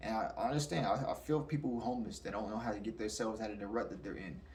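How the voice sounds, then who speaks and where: A man at a very fast pace, with audible room echo. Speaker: spirituality commentator. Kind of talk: casual monologue.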